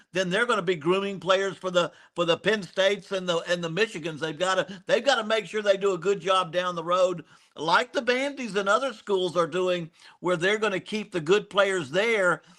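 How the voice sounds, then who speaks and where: A man's high, bright, sharp voice with an American accent, moderate pace and ordinary pitch variation, on a very clean recording with a silent background. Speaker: college football analyst and former coach. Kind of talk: casual sports talk. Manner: repetitive, stammering restarts.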